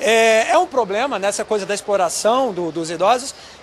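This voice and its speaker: Noticeable background noise runs under this man's voice. He speaks at a high pitch with lively intonation. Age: 30s. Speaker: field reporter. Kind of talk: live field report. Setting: outdoors.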